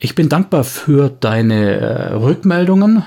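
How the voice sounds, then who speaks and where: A man's dark, mellow tone, somewhat breathy. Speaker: podcast host. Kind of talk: angry rant, unscripted monologue aimed at trolls. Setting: home recording, uncut. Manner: irate, sarcastic, clipped and fed up; firm, emphatic, then curt at the end.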